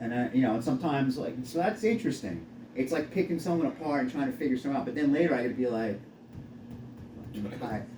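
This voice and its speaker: Over noticeable background noise, a man with a fairly high voice speaks at a very fast pace, his pitch swinging very widely between long, frequent pauses. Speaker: physical therapist. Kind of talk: casual chat.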